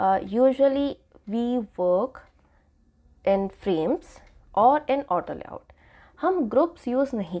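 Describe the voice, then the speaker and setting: A woman's high-pitched voice has a dark, mellow tone. Her pitch swings very widely. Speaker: UI designer and tutorial creator. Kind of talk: tutorial. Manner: casual, Hindi-English code-switching.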